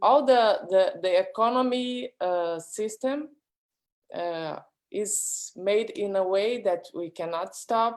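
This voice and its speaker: Speaking in a Brazilian accent, a woman moves at a very slow pace with ordinary pitch variation. The recording is very clean, with a silent background. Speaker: artist. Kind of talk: panel discussion. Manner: halting.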